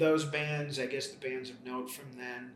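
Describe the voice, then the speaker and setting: Music plays and the room echoes audibly as a man with an American accent speaks at a medium pitch in a flat monotone. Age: 60s. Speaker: rock musician. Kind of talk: interview monologue. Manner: hesitant, many fillers.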